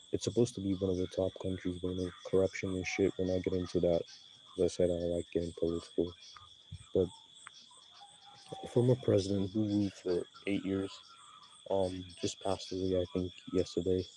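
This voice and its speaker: Noticeable background noise runs under a man's very deep, low voice, flat and monotone in intonation. He talks at a fairly quick pace yet leaves long, frequent pauses. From Nigeria. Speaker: YouTuber. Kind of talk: casual vlog commentary. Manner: casual, rambling with fillers.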